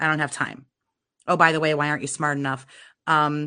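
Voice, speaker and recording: Against a quiet background, a woman speaks with a very deep, low pitch and a bright, sharp tone. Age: 30s. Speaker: narcissism abuse counselor and YouTuber. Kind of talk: interview.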